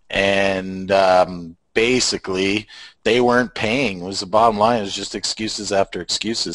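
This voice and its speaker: A man with a Canadian accent has a normal speaking voice at a fairly low pitch, talking at a moderate pace with fairly even intonation, the sound dry and close with no echo over a quiet background. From Canada. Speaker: online marketer. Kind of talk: casual chat. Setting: video call from home garage.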